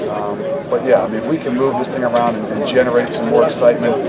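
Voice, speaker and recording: Very fast speech from a man, with loud noise in the background. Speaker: head football coach. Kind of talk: interview answer. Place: stadium. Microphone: handheld.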